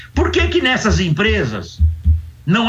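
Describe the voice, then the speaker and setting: A man's voice with audible room echo. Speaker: sociology professor. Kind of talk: interview. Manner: animated.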